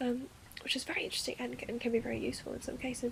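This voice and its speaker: Noticeable background noise runs under this recording. The speaker is a woman with a high pitch. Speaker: ASMR roleplayer portraying a wandmaker's daughter. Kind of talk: soft-spoken ASMR roleplay lecture.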